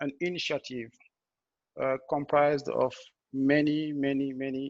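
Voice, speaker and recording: Here a man speaks with a French accent at a fairly slow pace. His fairly high voice stays monotone and flat. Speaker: blockchain engineer. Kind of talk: technical presentation. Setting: video call. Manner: halting, many fillers and restarts.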